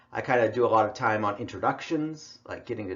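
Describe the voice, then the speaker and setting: With an American accent, a man talks at a fairly quick pace, his voice showing vocal fry. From US West, Idaho. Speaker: college English instructor. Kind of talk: online lecture. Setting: recorded online class with headphones. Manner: casual, conversational.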